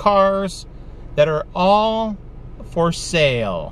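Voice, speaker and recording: Over light background noise, a man with a high-pitched voice speaks with ordinary pitch variation, the sound dry with no echo. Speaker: travel vlogger. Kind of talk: casual vlog chat. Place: car. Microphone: phone near.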